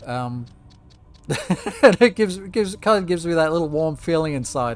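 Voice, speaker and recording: In an Australian accent, the speaker talks at a fairly quick pace with lively intonation. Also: man, high pitch for a man. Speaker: gaming youtuber. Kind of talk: let's play commentary. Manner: halting.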